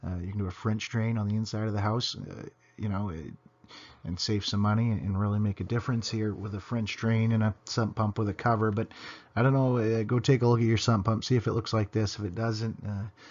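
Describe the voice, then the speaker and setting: At a fairly quick pace, a man talks in a fairly low voice. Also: fairly even intonation. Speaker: home weatherization contractor. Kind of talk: tutorial. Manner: fast; halting, many fillers.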